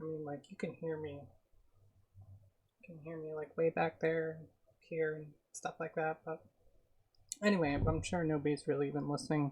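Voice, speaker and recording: A soft-spoken woman's very deep, low voice at a moderate pace with fairly even intonation. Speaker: streamer. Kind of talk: casual chat. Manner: soft-spoken, reserved.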